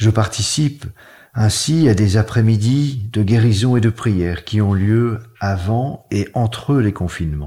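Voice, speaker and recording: In a very clean recording with a silent background, a man speaks at a very slow pace with fairly low pitch, ordinary pitch variation, a dark, mellow tone and a somewhat breathy quality. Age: 70s. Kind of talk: testimony.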